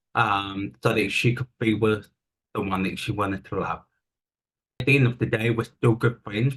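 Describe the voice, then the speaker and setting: Speaking at a moderate pace, a man has a New Zealand accent. His pitch is medium and his intonation fairly even. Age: 30s. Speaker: interview guest. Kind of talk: personal testimony. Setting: video call.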